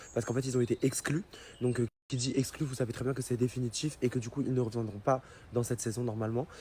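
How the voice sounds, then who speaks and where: Somewhat breathy, a man speaks very fast at medium pitch. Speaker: social media influencer. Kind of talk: direct-to-camera explanation to followers. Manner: hesitant, many fillers.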